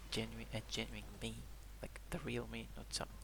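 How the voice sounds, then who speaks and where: There is audible room echo as a man talks at a fairly slow pace in a very deep, low voice. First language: Greek. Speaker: video journal vlogger. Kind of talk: personal video diary. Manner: halting.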